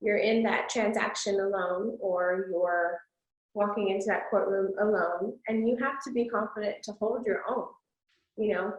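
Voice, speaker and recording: A woman with an American accent speaks in a normal speaking voice at medium pitch, with fairly even intonation and a moderate pace. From Texas, San Antonio. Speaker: attorney. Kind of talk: casual chat.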